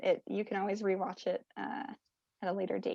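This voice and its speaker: At a moderate pace, a woman uses an ordinary speaking voice of medium pitch, recorded with a dry, close sound and no echo. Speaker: bird atlas coordinator. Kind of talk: presentation Q&A over video call. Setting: video call.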